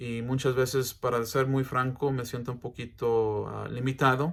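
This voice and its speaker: The recording is very clean, with a silent background. The speaker has an English accent. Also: man. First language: English (speaking Spanish). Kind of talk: educational talk. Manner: halting, many fillers.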